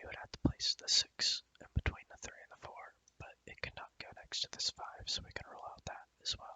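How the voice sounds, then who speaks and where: Whispering with hardly any pauses. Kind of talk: ASMR soft-spoken puzzle walkthrough. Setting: quiet home recording. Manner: soft-spoken, whispered, slow, relaxing.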